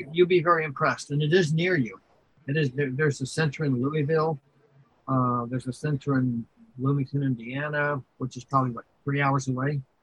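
This man's voice sits at a fairly high pitch and sounds somewhat breathy, with fairly even intonation. He moves at a fairly quick pace, and the sound is dry and close with no echo. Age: 70s. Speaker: video game record keeper. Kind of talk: interview conversation.

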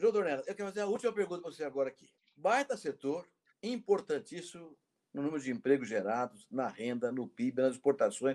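The voice makes very wide pitch swings and big swings in loudness at a fairly quick pace. The recording is very clean, with a silent background. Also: man, fairly high pitch for a man. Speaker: professor and interview host. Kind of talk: interview.

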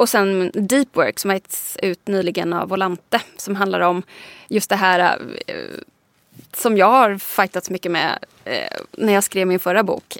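A woman speaks at a medium pitch and a fairly slow pace, with fairly even intonation and an ordinary speaking voice. The recording is very clean, with a silent background and a dry, close sound with no echo. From Sweden, Småland. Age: 30s. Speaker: digital strategist and author. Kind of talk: interview conversation. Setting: studio.

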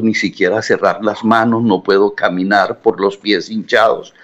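A man at a medium pitch speaks at a fairly slow pace. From Colombian Caribbean coast, Barranquilla. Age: 60s. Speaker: journalist. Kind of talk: interview. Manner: halting.

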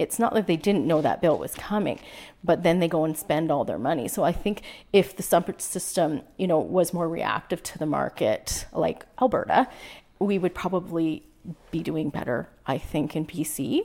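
Recorded very cleanly against a silent background, a woman with a Canadian accent has an unremarkable speaking voice, fairly low in pitch, and talks at a moderate pace with ordinary pitch variation. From British Columbia, Canada. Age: 40s. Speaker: small-town mayor. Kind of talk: interview conversation.

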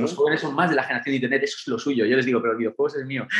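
This is a man speaking. His voice sits fairly high in pitch. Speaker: documentary director. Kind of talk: interview.

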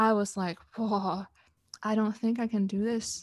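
A woman speaks in a Canadian accent at a medium pitch. Her pace is fairly slow and her intonation monotone and flat. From Canada. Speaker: relationship coach. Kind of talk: interview. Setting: video call.

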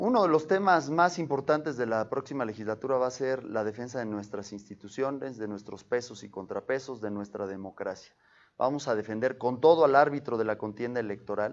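An unremarkable speaking voice from a man, medium in pitch, with ordinary pitch variation, a fairly quick pace and hardly any pauses. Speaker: congressional candidate. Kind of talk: interview.

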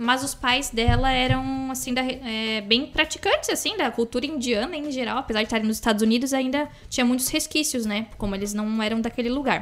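Against noticeable background noise, a woman with a high voice and ordinary pitch variation talks at a fairly quick pace with hardly any pauses. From interior of São Paulo state, Brazil. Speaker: podcast co-host. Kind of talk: casual chat.

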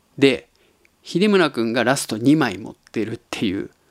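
A man's pitch swings very widely on a very clean recording with a silent background. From Japan, Tottori (eastern). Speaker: podcast host. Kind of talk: casual monologue.

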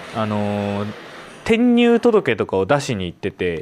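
The man's speech moves at a fairly slow pace. There is noticeable noise behind him. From Sapporo, Hokkaido. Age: 30s. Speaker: podcast host. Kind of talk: casual monologue.

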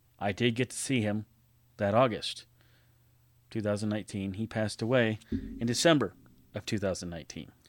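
On a very clean recording with a silent background, a man with a fairly low voice and an American accent talks at a fairly quick pace, with ordinary pitch variation and long, frequent pauses. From California. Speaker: podcast host. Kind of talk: memorial tribute monologue.

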